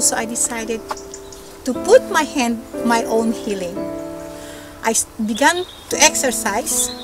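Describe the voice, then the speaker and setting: A woman over noticeable background noise, with a dry sound and no echo. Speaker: perfume reviewer. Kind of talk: product review to camera. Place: garden.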